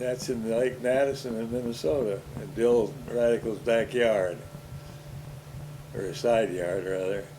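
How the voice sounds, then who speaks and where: A man talks at a fairly slow pace, medium in pitch, with ordinary pitch variation and long, frequent pauses. Audible room echo and noticeable background noise surround him. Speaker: older relative recounting his life. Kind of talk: casual family interview over home movies.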